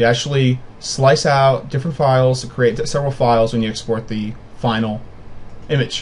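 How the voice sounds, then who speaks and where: In a somewhat breathy voice, a man talks at a medium pitch. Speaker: software tutorial maker. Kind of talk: screen-recorded tutorial. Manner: fast; casual, with fillers and restarts.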